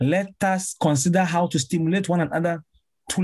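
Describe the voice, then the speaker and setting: A man's high-pitched voice at a moderate pace. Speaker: pastor and musician. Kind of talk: preaching-style conversation. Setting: podcast interview.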